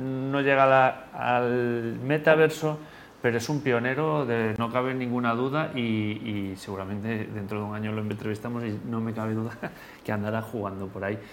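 This man talks at a moderate pace with a medium pitch and ordinary pitch variation. Noticeable background noise and audible room echo are present. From Spain. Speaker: podcast host. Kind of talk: interview.

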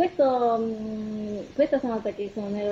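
A woman speaks with a Japanese accent and a fairly high pitch. Her pace is very slow, with ordinary pitch variation. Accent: Japanese accent in Italian. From Japan, Kumamoto. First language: Japanese (speaking Italian). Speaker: concert pianist and piano teacher. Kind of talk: radio interview. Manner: hesitant, many fillers.

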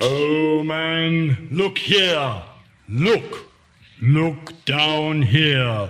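In a put-on character voice, a man talks at a very slow pace with a fairly high pitch and long, frequent pauses. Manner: stern, warning, grave.

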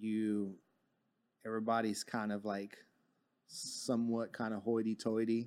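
A man with an American accent speaks at a fairly slow pace in a medium pitch. His tone is dark and mellow, and the recording is very clean with a silent background. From Texas, Fort Worth. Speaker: cannabis grower and industry professional. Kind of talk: interview.

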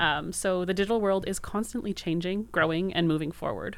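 A woman talks at a very fast pace with fairly even intonation, on a very clean recording with a silent background. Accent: Maritime Canadian. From Maritime Canada. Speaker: podcast co-host. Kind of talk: casual interview.

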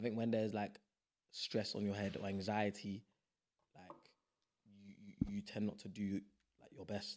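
Delivered at a moderate pace with a London accent, the voice swings widely in loudness and breaks often into long pauses. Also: man, fairly low pitch for a man. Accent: London, multicultural London English. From South East London. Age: 20s. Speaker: actor and spoken word artist. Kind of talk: casual chat. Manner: animated, passionate.

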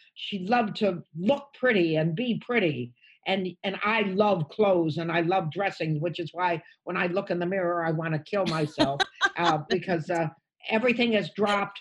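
The voice has an American accent and sounds somewhat breathy, with ordinary pitch variation. It moves at a moderate pace against a quiet background. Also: woman, medium pitch for a woman. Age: 80s+. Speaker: stand-up comedian. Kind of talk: casual chat.

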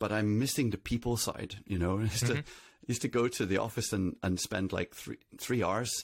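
In a very clean recording with a silent background, a man with a Northern Irish accent talks at a moderate pace, his fairly low pitch showing ordinary variation. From Northern Ireland. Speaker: CTO. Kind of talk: interview.

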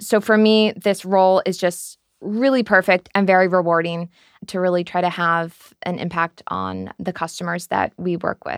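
A woman's medium-pitched voice with an American accent, moderately paced and fairly even in intonation, in a dry, close sound with no echo. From United States. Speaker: tech sustainability lead. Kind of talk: interview. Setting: studio.

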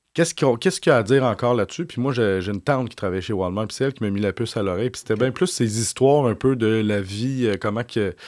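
A man with a Quebec accent, medium pitch and ordinary pitch variation, at a fairly quick pace, on a very clean recording with a silent background. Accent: Québécois French. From Quebec (Saint-Eustache area). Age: 40s. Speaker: journalist. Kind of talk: interview.

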